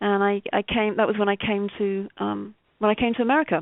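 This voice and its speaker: A woman speaks in a British accent at a medium pitch. Her pace is moderate and her intonation fairly even. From Britain. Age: 50s. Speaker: novelist and poet. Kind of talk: interview. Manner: hesitant, many fillers and repeats.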